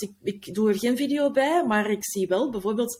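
A woman speaks somewhat breathily at a moderate pace, her medium pitch showing ordinary variation. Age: 40s. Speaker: podcast manager. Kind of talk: casual interview. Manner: halting.

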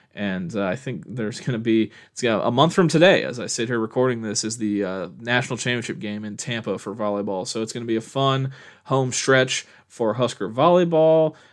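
Over a quiet background, a man with a normal speaking voice, an American accent and a medium pitch speaks at a fairly quick pace with lively intonation and hardly any pauses. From Nebraska, Omaha. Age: 20s. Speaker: sports podcaster. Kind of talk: solo podcast commentary. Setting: solo recording at a microphone. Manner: casual, with frequent fillers.

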